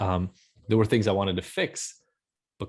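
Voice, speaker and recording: A man with an unremarkable speaking voice, fairly low in pitch, talks at a fairly quick pace with fairly even intonation in a very clean recording with a silent background. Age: 40s. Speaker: addiction expert. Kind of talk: interview testimony.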